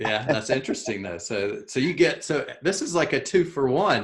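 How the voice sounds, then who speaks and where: A fairly high-pitched man's voice with vocal fry and a Southern US accent. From US South, South Carolina. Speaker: podcast host. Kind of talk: casual interview. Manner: slow.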